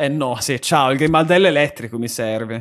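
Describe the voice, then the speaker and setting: An animated male voice at a moderate pace against a quiet background. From Bologna, Emilia-Romagna, Italy. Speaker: gaming streamer. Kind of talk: live game streaming commentary. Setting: home streaming setup. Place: home room. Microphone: studio mic.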